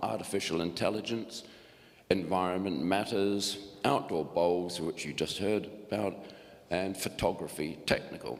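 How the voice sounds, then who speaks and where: Audible room echo surrounds a man speaking at a moderate pace in a very deep, low voice. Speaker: group coordinator of a retirees' learning club. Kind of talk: annual report speech at a meeting. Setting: church hall meeting with audience. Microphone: echoey PA.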